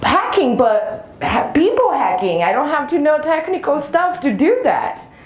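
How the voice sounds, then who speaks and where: A woman speaks at a high pitch with very wide pitch swings. Noticeable background noise and audible room echo are present. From Brazil. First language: Portuguese. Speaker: penetration tester. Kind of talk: conference talk.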